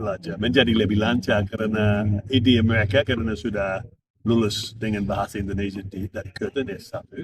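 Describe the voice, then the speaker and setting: A man's somewhat breathy, fairly low-pitched voice at a fairly quick pace, with a dry, close sound and no echo. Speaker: former diplomat and interpreter. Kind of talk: interview. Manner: hesitant, many fillers.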